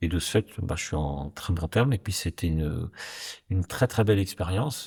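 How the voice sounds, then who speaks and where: A man speaks in a very deep, low pitch, his tone dark and mellow and somewhat breathy, with ordinary pitch variation. The recording is very clean, with a silent background. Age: 60s. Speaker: company executive and board member. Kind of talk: interview conversation. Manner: hesitant, many fillers.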